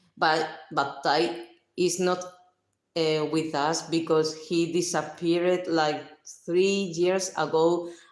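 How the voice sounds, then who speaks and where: Speaking very slowly with a Spanish accent, a woman holds a fairly low pitch and a monotone, flat intonation at very even loudness, leaving long, frequent pauses amid audible room echo. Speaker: livestreamer. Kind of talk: casual chat. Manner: halting.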